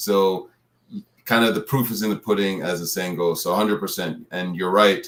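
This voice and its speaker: A man talks at a moderate pace in an unremarkable speaking voice. His pitch is fairly low and his intonation fairly even. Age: 50s. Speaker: retired pro football player and personal trainer. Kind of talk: interview.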